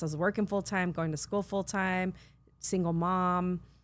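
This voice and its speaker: In a Californian accent, the speaker talks at a moderate pace with ordinary pitch variation. The recording is very clean, with a silent background. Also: woman. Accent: Californian American English. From US West Coast (San Fernando Valley, California). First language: Spanish. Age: 50s. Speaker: nonprofit CEO and social worker. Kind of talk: interview conversation.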